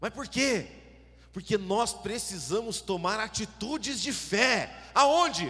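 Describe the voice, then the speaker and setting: A man talks at a fairly slow pace with lively intonation. Noticeable background noise runs behind him. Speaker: preacher. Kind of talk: sermon. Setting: church. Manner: animated, exhorting the congregation with fervent, rhythmic preaching; interactive, asks audience to shout along.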